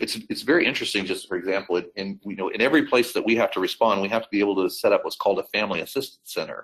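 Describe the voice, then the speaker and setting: A man with an American accent talks at a very fast pace. He hardly pauses at all. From United States. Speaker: airline crisis communications executive. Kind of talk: webinar interview. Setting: online webinar. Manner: conversational with many fillers and repetitions.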